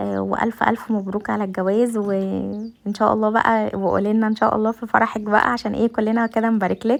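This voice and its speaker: A woman speaks at a fairly high pitch and a moderate pace. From Egypt. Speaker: home vlogger, mother. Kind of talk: casual cooking vlog talk to camera. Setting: home kitchen. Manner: hesitant, many fillers.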